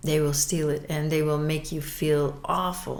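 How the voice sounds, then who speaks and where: Very deep, low-pitched woman's voice with audible room echo. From Belgium. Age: 60s. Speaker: abuse survivor. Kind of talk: testimony. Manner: halting, with repetitions.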